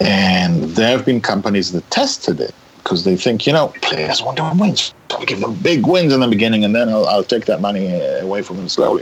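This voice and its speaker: Noticeable background noise sits behind a man with an Israeli accent. He talks at a fairly quick pace with lively intonation. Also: medium pitch for a man. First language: Hebrew. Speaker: writer and director. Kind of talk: interview conversation.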